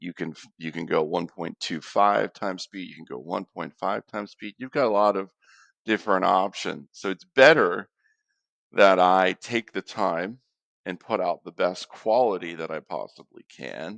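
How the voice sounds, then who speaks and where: The sound is dry and close with no echo, and the loudness swings widely. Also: man, very deep, low pitch for a man, ordinary pitch variation. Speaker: market analyst, channel host. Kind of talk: solo market commentary video. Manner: slow; hesitant, with fillers.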